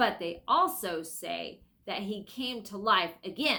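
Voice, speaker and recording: A woman's put-on character voice at a medium pitch and fairly slow pace, on a very clean recording with a silent background. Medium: read story. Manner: sharp, blunt.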